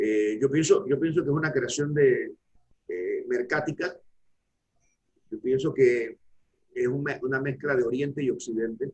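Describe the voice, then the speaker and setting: A man speaks at a moderate pace. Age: 60s. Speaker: law professor. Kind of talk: academic panel discussion.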